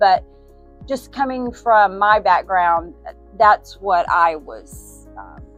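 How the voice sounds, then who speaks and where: A woman speaks at a very slow pace with big swings in loudness. Music plays in the background. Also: medium pitch for a woman, ordinary pitch variation. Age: 60s. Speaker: small business owner. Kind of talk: street interview answer.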